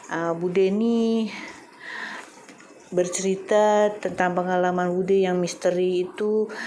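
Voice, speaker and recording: A woman with a fairly low pitch speaks at a fairly slow pace, with audible room echo and noticeable background noise. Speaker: YouTuber, storyteller. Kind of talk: casual vlog talk. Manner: hesitant, many fillers.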